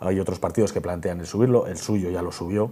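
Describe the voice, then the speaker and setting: This man's voice is very deep and low, with a dark, mellow tone. He talks at a very fast pace. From Spain, Burgos; Spain. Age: 30s. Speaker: parliamentary candidate; candidate. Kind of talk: TV interview; interview answer. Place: studio. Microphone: lapel.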